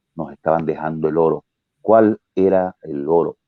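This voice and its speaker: A man with a very deep, low pitch. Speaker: actor, dramatist, radio guest. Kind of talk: interview answer.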